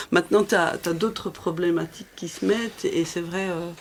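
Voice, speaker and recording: Noticeable background noise sits under this recording. A woman talks at a moderate pace in a fairly low pitch with fairly even intonation. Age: 60s. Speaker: cycling community group founder. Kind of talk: casual chat. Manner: halting.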